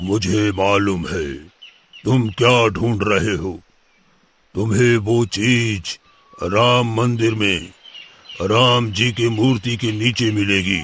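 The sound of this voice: In a cartoonish character voice, a man speaks very slowly at a fairly low pitch, leaving long, frequent pauses.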